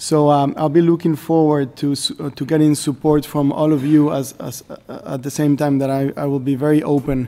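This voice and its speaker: With a Spanish accent, a man speaks at a moderate pace with hardly any pauses, his fairly high voice dark and mellow in tone yet monotone and flat in intonation. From Mexico. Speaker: government representative of host country. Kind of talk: formal meeting remarks. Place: meeting room. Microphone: podium.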